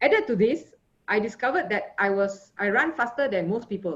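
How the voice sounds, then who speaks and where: At a moderate pace, a woman with a Malaysian accent speaks in a fairly high pitch. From Malaysia, Johor Bahru. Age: 50s. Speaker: sports physician. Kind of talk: conference talk. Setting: video call.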